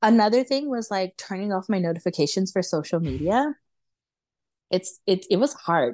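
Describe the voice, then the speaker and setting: With an American accent and lively intonation, a woman of medium pitch talks at a moderate pace in a dry, close sound with no echo. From Los Angeles, US. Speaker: content creator, van lifer. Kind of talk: casual interview chat. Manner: filler-heavy, conversational.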